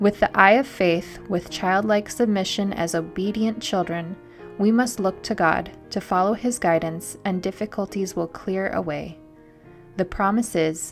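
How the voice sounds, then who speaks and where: With music in the background, a woman at a medium pitch talks fairly slowly with fairly even intonation. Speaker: evangelist. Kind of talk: devotional reading.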